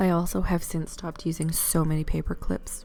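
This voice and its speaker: With music in the background, a woman speaks quietly at a moderate pace in a calm tone. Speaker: crafter, bookbinding video creator. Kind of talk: voiceover tutorial narration. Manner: quiet, calm.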